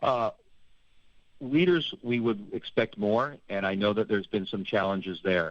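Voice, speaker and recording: With a plain, everyday voice, a man speaks at a moderate pace and a fairly low pitch, his intonation lively. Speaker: public health expert, organisation director. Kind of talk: radio interview.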